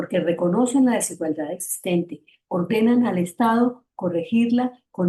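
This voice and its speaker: Her intonation is lively, carrying an Antioquian Colombian accent. The woman's tone is dark and mellow, somewhat breathy. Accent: Antioquian Colombian Spanish, noticeable. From Antioquia, Colombia. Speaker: feminist activist, panelist. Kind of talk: panel presentation. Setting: online seminar.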